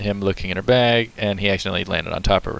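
A man talks with monotone, flat intonation in a dry sound with no echo. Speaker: reaction streamer. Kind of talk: casual reaction commentary. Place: home room. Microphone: headset.

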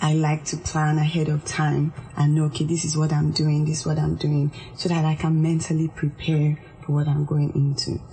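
Intonation is monotone and flat. Loudness stays very even throughout. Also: woman, very deep, low pitch for a woman, moderate pace. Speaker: organizational psychologist. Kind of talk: radio interview. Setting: studio. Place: studio.

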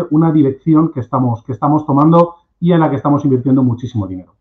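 Very fast delivery with ordinary pitch variation against a quiet background. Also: man. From Spain, Cuenca (La Mancha). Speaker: agricultural machinery marketing manager. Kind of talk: webinar presentation. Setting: video call. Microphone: video call.

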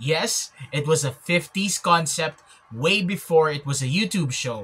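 The man's voice has ordinary pitch variation. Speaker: vlogger. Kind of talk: casual vlog commentary. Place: home room. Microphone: phone near.

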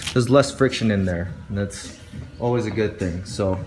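A man speaks while faint music plays in the background. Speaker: barbell maintenance demonstrator. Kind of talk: tutorial. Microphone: phone near.

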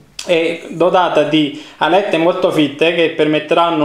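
Speaking at a moderate pace, a man is heard with audible room echo. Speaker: hardware reviewer. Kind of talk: product unboxing commentary. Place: home room. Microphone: phone near.

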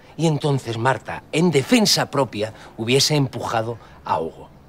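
Very wide pitch swings run through a man's fairly slow speech. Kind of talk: acted drama dialogue. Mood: earnest, explaining. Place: street.

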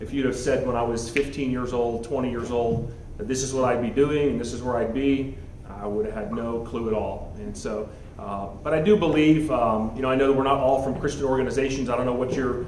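A man talks with fairly even intonation. Light background noise and audible room echo surround his voice. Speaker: guest. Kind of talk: speech to an audience. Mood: warm, reflective. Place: hall. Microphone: handheld.

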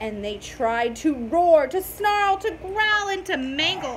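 Speaking slowly, a woman uses a high pitch and lively intonation.

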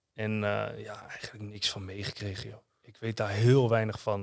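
A man speaks fairly quickly, the background around him quiet. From Netherlands, Utrecht area (Houten); Netherlands. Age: 30s. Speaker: former professional footballer; podcast guest. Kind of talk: interview testimony. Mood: calm, reflective, sometimes heavy. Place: studio. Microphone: studio mic.

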